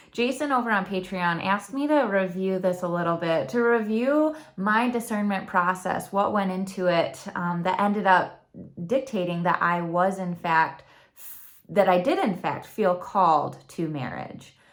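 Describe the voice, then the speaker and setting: In a room with audible echo, a woman with a Michigan accent talks at a moderate pace, her medium pitch carried by lively intonation. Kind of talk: personal testimony vlog. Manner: talkative.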